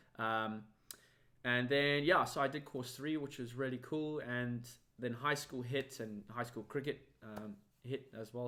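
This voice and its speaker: The speech moves at a moderate pace with a bright, sharp tone and fairly even intonation. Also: man. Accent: South African. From South Africa, Cape Town. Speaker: magician. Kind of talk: interview.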